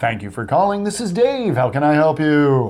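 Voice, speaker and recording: A man puts on a character voice, pitched fairly high. His pitch swings very widely at a moderate pace. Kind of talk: formal, polished. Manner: radio-style, professional.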